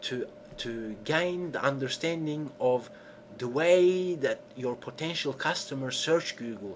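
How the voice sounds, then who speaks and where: There is noticeable background noise behind this man. His voice sits fairly high in pitch. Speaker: SEO tutorial presenter. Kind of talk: tutorial. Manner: animated.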